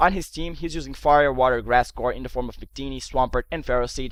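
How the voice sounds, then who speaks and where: In a very clean recording with a silent background, a man speaks with a Portuguese accent. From Portugal. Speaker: gaming commentator. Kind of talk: live game commentary; casual video intro.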